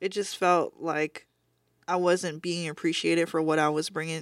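Medium in pitch, this is a plain, everyday voice from a woman. She keeps a moderate pace. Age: 20s. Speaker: tattoo artist. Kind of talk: casual chat. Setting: studio.

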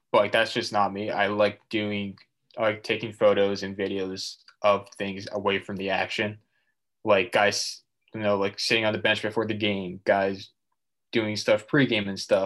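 A man's fairly low voice with an American accent, monotone, flat intonation and a moderate pace, against a quiet background. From Massachusetts. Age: 20s. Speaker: student sports photographer. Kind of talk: casual interview.

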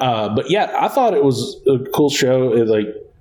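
With noticeable background noise, a man talks at a medium pitch. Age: 30s. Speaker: podcast host and teacher. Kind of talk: casual chat. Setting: studio.

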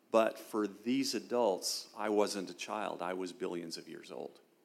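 A man speaks at a fairly slow pace. His pitch is fairly low, with ordinary pitch variation. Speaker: retired military officer and law professor. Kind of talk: testimony in an interview.

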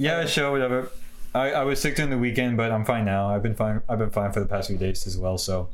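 A man at a very fast pace and medium pitch, with ordinary pitch variation, very even loudness and noticeable background noise. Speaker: podcast co-host. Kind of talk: casual banter. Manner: says um often.

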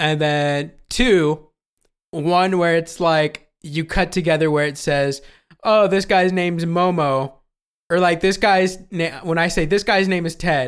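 A man speaks fairly slowly in a high-pitched voice, his intonation staying fairly even. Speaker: podcast host. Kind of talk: casual chat. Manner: casual, laughs often.

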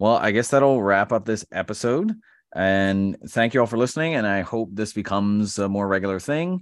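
A plain, everyday voice from a man, fairly low in pitch with ordinary pitch variation, at a moderate pace against a quiet background. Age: 30s. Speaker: podcast host and teacher. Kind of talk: interview. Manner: casual, filler-heavy.

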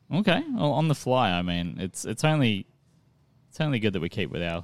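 Spoken at a fairly quick pace with an Australian accent, the voice swings very widely in pitch. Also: man. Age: 20s. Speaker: podcast host. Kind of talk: casual chat.

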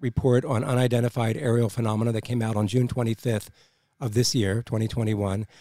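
On a very clean recording with a silent background, a man's dark, mellow tone moves at a moderate pace. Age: 60s. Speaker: podcast co-host. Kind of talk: casual podcast chat.

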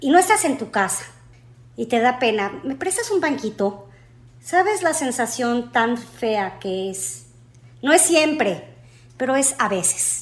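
Pausing long and often, a woman speaks at a very slow pace in a high pitch with very wide pitch swings. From Mexico. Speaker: airline customer service agent. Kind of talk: interview.

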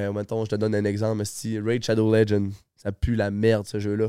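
A man with a dark, mellow tone and fairly low pitch talks at a moderate pace in a very clean recording with a silent background. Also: dry, close sound with no echo. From Quebec, Lac-Saint-Jean. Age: 20s. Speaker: Twitch streamer. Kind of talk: casual chat.

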